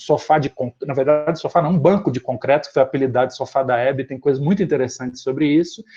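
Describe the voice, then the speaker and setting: This man has a dark, mellow tone and medium pitch, heard against a quiet background. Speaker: professor. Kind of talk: lecture. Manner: fast.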